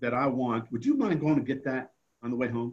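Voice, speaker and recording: In a plain, everyday voice, a man speaks at a medium pitch with an American accent and ordinary pitch variation. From New Jersey. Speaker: author and foundation founder. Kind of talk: interview testimony.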